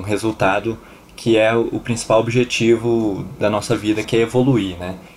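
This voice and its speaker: Over noticeable background noise, a man talks at a moderate pace and medium pitch with monotone, flat intonation. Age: 20s. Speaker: podcast host. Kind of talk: casual chat.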